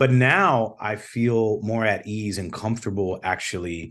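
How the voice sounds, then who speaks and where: A man's unremarkable speaking voice in an American accent, fairly low in pitch, at a fairly slow pace. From Chicago South Side, US. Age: 30s. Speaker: singer-songwriter. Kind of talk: interview.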